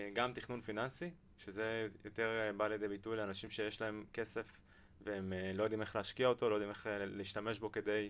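This man's fairly low voice moves at a moderate pace, its intonation monotone and flat. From Israel, Beersheba. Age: 20s. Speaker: financial advisor, company CEO. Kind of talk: podcast interview.

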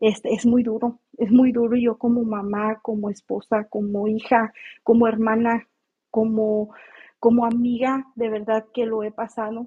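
Speaking at a fairly slow pace, a woman with a fairly high pitch keeps a monotone, flat intonation. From Mexico. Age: 30s. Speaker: audio room participant. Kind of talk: personal testimony.

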